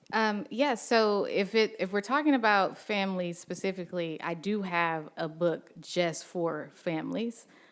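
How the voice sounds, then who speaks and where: A woman with an American accent speaks at a fairly slow pace with hardly any pauses, in a medium pitch with ordinary pitch variation, on a very clean recording with a silent background. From Texas. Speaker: early childhood education expert and author. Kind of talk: audience Q&A answer. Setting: live event with audience. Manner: halting, many fillers and restarts.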